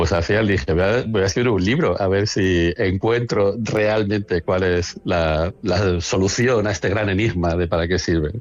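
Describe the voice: At a moderate pace with few pauses, a man speaks in a low pitch with ordinary pitch variation.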